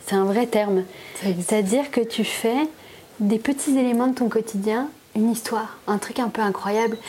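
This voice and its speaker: A woman at a fairly high pitch and moderate pace, very even in loudness with fairly even intonation, amid noticeable background noise. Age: 30s. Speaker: illustrator and graphic designer. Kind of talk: casual chat. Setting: at her home.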